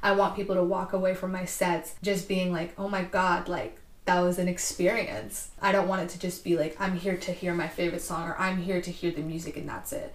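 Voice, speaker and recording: A woman's voice with an American accent, medium pitch, fairly even intonation and a fairly quick pace, over noticeable background noise. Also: hardly any pauses. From US West Coast, East Bay California. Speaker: DJ and artist. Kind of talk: casual interview.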